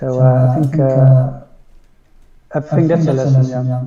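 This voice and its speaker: Monotone, flat intonation from a man with a dark, mellow tone and audible room echo. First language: Dutch. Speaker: photographer and video director. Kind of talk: casual interview conversation. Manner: halting, searching for words.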